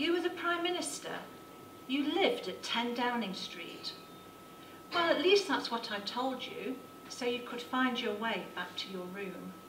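Noticeable background noise sits behind a woman whose high pitch moves in very wide swings. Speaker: poet. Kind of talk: poetry slam performance. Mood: tender, sorrowful. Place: hall. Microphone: handheld.

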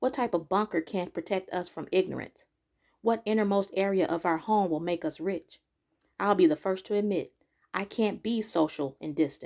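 An unremarkable speaking voice with ordinary pitch variation, delivered at a moderate pace. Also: woman, medium pitch for a woman. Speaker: poet. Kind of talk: spoken word poetry performance.

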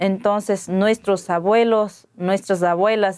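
At a very slow pace, a woman with an Ecuadorian accent speaks with fairly even intonation against a quiet background. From Ecuadorian Amazon, Pastaza. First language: Waorani (speaking Spanish). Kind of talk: interview; interview answer. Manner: halting. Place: studio. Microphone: lapel.

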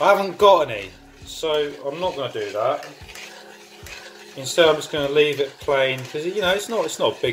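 A fairly quick pace amid light background noise. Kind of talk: casual cooking tutorial. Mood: playful, jokey. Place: kitchen. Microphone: phone near.

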